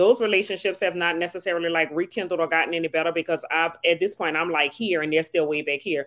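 The speech rushes along at a very fast pace with hardly any pauses. Its intonation stays fairly even. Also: woman, fairly low pitch for a woman. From New Orleans, Louisiana. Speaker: mindset coach and author. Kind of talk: casual podcast conversation.

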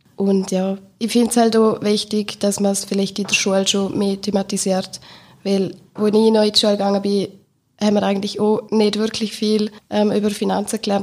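At a fairly quick pace, a woman of medium pitch speaks in a monotone, flat intonation. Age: 20s. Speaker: bank marketing employee. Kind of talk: casual chat.

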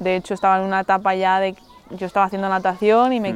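A woman is talking. Her voice rests at a medium pitch. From Mallorca, Spain. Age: 20s. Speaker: Olympic wrestler. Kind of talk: casual interview. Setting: outdoors in a forest.

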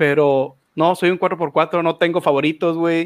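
A man speaks with a Mexican accent. His pitch is high. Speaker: fighting game commentator. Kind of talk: casual chat.

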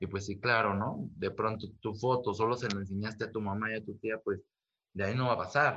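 A man's fairly low voice, bright and sharp in tone, at a fairly quick pace with fairly even intonation. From Mexico, Ciudad Nezahualcóyotl. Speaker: photographer. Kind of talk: interview. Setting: video call.

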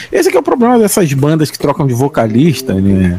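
A man talks against noticeable background noise. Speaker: podcast host. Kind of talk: casual chat. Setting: bar table.

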